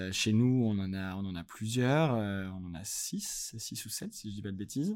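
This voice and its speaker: A man talks in a normal speaking voice. His pitch is fairly low with ordinary variation. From France, Lyon. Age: 20s. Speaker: music industry manager. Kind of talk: casual interview.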